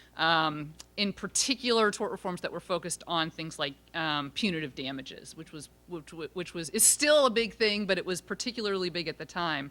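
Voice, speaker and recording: Loud and bright with a sharp edge, a woman's fairly low voice moves at a fairly quick pace with lively intonation on a very clean recording with a silent background. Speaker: law professor and author. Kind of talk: panel discussion talk. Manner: hesitant, many fillers.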